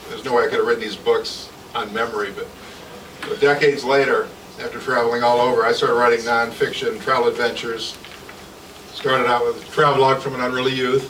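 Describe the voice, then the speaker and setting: Over noticeable background noise, a man with a Midwestern American accent talks at a very fast pace broken by long, frequent pauses. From Michigan, Jackson. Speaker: author. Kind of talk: author talk at a reading event. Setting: live event with audience, on a mic.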